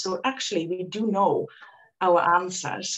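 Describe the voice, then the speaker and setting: A woman talks with a Dutch accent. Her pitch sits in the medium range. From Netherlands. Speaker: reiki practitioner and former nurse. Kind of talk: interview.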